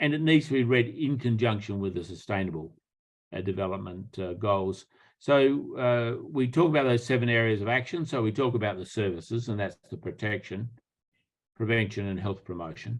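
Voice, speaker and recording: Speaking in an Australian accent, a man keeps a moderate pace at medium pitch with ordinary pitch variation. The background is quiet. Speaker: public health professor. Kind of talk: lecture.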